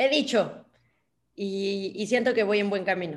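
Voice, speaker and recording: A woman speaks at a very slow pace. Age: 20s. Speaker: podcast co-host. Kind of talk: casual chat.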